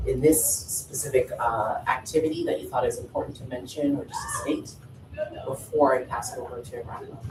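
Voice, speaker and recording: The speech moves at a fairly quick pace against noticeable background noise. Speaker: workshop facilitator. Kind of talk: workshop facilitation. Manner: fast.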